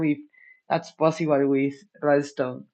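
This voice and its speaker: This speaker has a Spanish accent. The pace is moderate. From Argentina. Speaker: hardware hobbyist streamer. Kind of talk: casual chat. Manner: halting.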